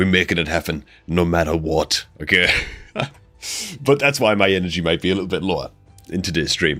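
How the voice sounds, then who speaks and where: The speech moves at a fairly quick pace, broken by long, frequent pauses, and the tone is animated. Music plays in the background. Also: man. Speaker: gaming streamer. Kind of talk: live stream chat. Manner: casual, animated.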